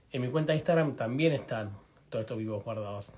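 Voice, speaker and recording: A man speaks in a somewhat breathy voice. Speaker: veterinarian hosting livestream. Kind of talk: live stream interview. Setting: video livestream. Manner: fast.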